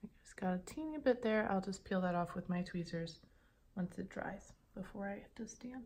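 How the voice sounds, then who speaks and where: A woman's dark, mellow tone comes across somewhat breathy, with lively intonation. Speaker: ASMR creator. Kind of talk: ASMR nail stamping tutorial roleplay. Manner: calm, teacherly.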